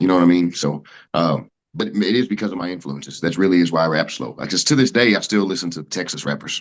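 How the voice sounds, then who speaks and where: A man with an American accent speaks at a very deep, low pitch. His pace is very fast and his intonation lively. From Oklahoma, Muskogee County. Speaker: country rapper. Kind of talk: casual interview chat. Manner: loud.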